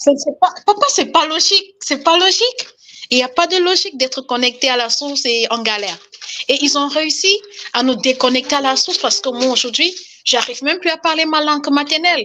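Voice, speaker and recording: Speaking at a fairly quick pace, a woman uses a raised, projected voice that is high in pitch, with lively intonation. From Cameroon. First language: Cameroonian language, now lost (speaking French). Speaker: caller. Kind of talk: testimony.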